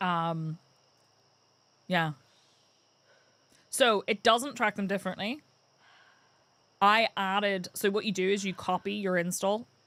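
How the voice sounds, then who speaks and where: At a fairly slow pace with long, frequent pauses, a woman speaks in a bright, sharp tone at a medium pitch with ordinary pitch variation. The sound is dry and close with no echo, on a very clean recording with a silent background. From Northern Ireland. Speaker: gaming streamer. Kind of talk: live gameplay stream chat. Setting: live stream. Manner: casual, chatty.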